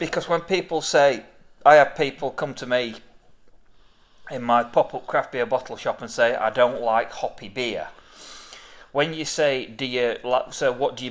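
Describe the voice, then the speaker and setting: A man with an ordinary speaking voice talks at a moderate pace and medium pitch, with ordinary pitch variation and big swings in loudness. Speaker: beer reviewer and craft beer seller. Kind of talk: casual beer tasting review chat.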